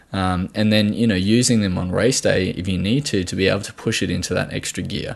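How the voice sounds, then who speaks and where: This man has a fairly low pitch and moves at a fairly quick pace. His intonation stays fairly even. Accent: Australian. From Australia. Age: 20s. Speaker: podcast host, nutritional therapist. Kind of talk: solo podcast monologue. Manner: halting, many fillers and repetitions.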